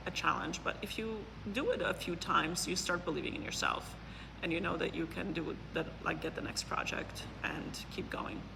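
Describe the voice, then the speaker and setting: Talking at a moderate pace, a woman is heard through audible room echo and noticeable background noise. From Poland. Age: 40s. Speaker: neuroscientist and business consultant. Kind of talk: interview. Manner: hesitant, many fillers.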